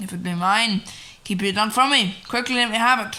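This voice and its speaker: The speaker uses a put-on character voice at a fairly quick pace. Loudness swings widely while the intonation stays fairly even. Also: woman, fairly high pitch for a woman. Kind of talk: classical Shakespearean stage acting. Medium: audio drama. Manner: intense, impassioned.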